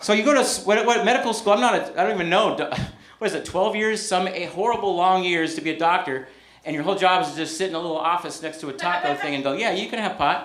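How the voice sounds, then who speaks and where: Over noticeable background noise and audible room echo, a man with an American accent talks in a high voice with an animated tone and lively intonation. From Northern California. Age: 50s. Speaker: stand-up comedian. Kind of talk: stand-up. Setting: stage with audience.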